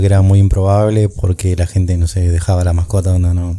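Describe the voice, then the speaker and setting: This man's voice sits very deep and low, with a dark, mellow tone. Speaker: podcast co-host and sound operator. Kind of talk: casual chat.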